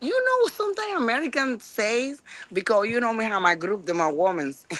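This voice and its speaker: In a Spanish accent, a woman with a fairly high pitch speaks at a fairly quick pace with very wide pitch swings over noticeable background noise. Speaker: chef. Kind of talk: casual chat. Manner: halting.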